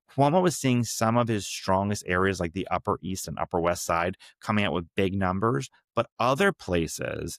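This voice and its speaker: A man's fairly low voice at a moderate pace, in a very clean recording with a silent background and a dry, close sound with no echo. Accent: strong New York. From New York City. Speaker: political podcast host. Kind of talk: political analysis podcast monologue. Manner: casual, conversational with fillers.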